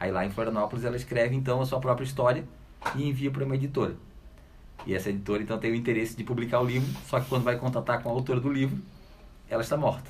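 A man's medium-pitched voice, very fast and fairly even in intonation, broken by long, frequent pauses, with audible room echo. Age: young. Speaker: book editor and writer. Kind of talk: casual radio interview. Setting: radio studio.

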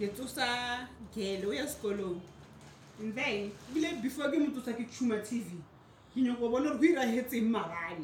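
A woman talks at a moderate pace with lively intonation, a fairly high pitch, and long, frequent pauses. Noticeable background noise and audible room echo fill the recording. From South Africa. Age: 30s. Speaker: podcast co-host. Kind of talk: casual chat.

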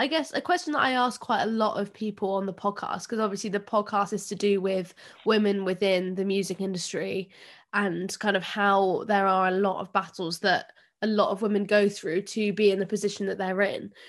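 A woman with an English accent speaks fairly quickly at a medium pitch, her intonation fairly even. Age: 20s. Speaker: podcast host. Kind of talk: casual chat. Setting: video call.

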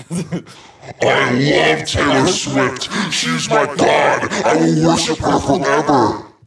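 A man uses a put-on character voice at a medium pitch, his pitch swinging very widely. He talks at a very slow pace with hardly any pauses. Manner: gushing, worshipful.

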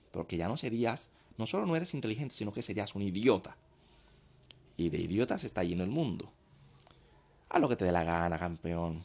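A fairly low-pitched man speaks at a fairly quick pace with lively intonation, broken by long, frequent pauses. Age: 20s. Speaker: dating and sex commentator, former party entertainer. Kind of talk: provocative monologue addressed to men.

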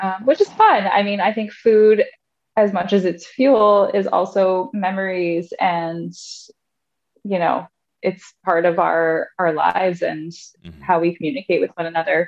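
With a Canadian accent, a woman has a normal speaking voice, talking at a fairly slow pace and a medium pitch with ordinary pitch variation. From Canada, Thunder Bay, Ontario. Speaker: core and pelvic floor fitness specialist. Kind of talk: casual interview.

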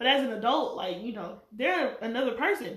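A woman talks with lively intonation in a high voice. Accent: Southern US. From North Carolina. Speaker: guest and school coworker. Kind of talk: casual chat.

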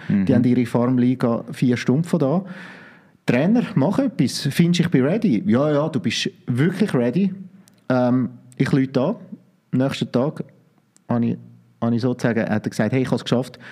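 A man with a Zurich accent has a dark, mellow tone and lively intonation. He leaves long, frequent pauses. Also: medium pitch for a man, moderate pace. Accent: Zurich Swiss German-accented German. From Switzerland, Zurich. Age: 30s. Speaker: coach and former pro wrestler. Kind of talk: podcast interview.

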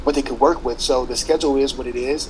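A man speaks at a very fast pace in a medium pitch, with a monotone, flat intonation and noticeable background noise. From Louisiana. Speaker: athletic trainer. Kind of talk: podcast interview.

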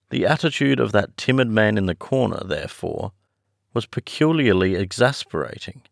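A plain read-aloud delivery with lively intonation plays over a quiet background.

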